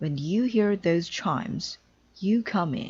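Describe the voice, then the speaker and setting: Someone speaks in a put-on character voice at a middle pitch and a fairly slow pace. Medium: read story. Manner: exasperated.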